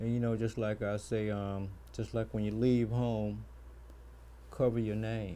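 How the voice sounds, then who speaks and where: A man talks in a fairly low pitch with a dark, mellow tone and monotone, flat intonation. His pace is fairly slow, broken by long, frequent pauses. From Petersburg, Virginia. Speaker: youth athletics mentor. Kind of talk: talk show interview. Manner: soft-spoken; halting, many fillers.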